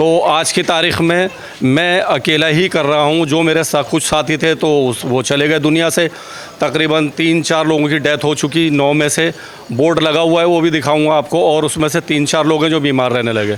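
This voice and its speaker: Noticeable background noise sits under a man speaking at a moderate pace. His fairly high pitch moves with fairly even intonation, and his loudness stays very even. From Old Delhi, India. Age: 60s. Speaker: volunteer street cleaner. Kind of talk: interview.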